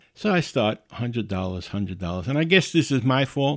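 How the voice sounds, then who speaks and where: A man with a normal speaking voice talks at a moderate pace in a medium pitch, his intonation lively. The recording is very clean with a silent background and a dry, close sound with no echo. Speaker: podcast host. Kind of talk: solo podcast monologue, casual. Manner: casual, chatty.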